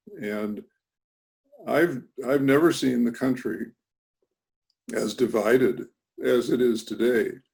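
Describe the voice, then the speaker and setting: A man's very slow delivery with an American accent, broken by long, frequent pauses. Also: medium pitch for a man, ordinary pitch variation. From United States. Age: 80s+. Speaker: author and educator. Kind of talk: interview. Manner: halting, with many fillers.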